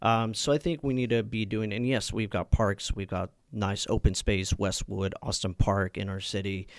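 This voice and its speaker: A man with a Californian accent speaks at a moderate pace and fairly low pitch, with ordinary pitch variation and hardly any pauses, on a very clean recording with a silent background. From Napa, California. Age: 20s. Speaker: city council candidate. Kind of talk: interview. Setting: studio.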